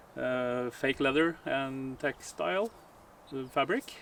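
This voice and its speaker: A man speaks with a Norwegian accent. His pitch is fairly high. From Norway. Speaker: car detailer. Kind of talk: casual video intro. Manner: halting, many fillers.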